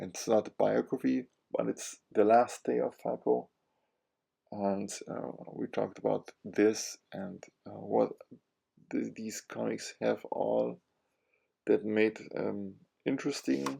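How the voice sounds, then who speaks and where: In a German accent, the speech moves at a very slow pace with long, frequent pauses. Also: man. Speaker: comic book YouTuber. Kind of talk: casual monologue. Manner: halting, many fillers.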